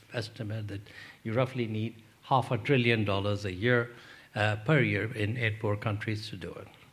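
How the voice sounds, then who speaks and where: The man speaks in a somewhat breathy voice. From Pakistan. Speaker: development economist, think tank president. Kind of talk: panel Q&A answers; lecture. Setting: lecture hall with audience. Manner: conversational.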